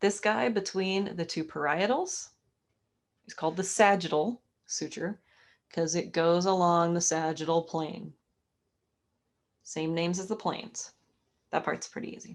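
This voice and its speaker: A woman's fairly low voice at a fairly slow pace, with ordinary pitch variation, long and frequent pauses, and big swings in loudness. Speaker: anatomy instructor. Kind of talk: online lecture. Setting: live video class. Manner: animated.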